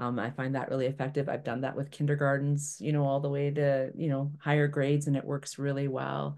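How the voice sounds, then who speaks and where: Over a quiet background, a woman speaks at a fairly quick pace with hardly any pauses, in a very deep, low pitch. Her tone is dark and mellow, and her intonation is monotone and flat. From Toronto, Canada. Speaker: environmental educator. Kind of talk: online workshop presentation. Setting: video call webinar. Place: home room. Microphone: webcam.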